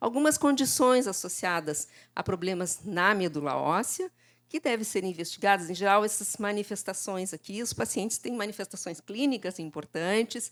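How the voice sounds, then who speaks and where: A woman with an unremarkable speaking voice, a medium pitch, lively intonation, and a moderate pace on a very clean recording with a silent background. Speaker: lecturer in laboratory hematology. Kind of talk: conference lecture. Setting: conference stage with audience.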